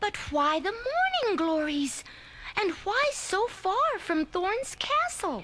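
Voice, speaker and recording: A put-on character voice pitched extremely high, speaking at a very slow pace over clear background noise. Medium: audio drama. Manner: fussy, dramatic.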